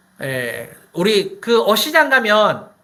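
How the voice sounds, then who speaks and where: A man talks in an animated tone. His voice carries audible room echo. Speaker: pastor. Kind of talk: sermon. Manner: animated, conversational with rhetorical questions.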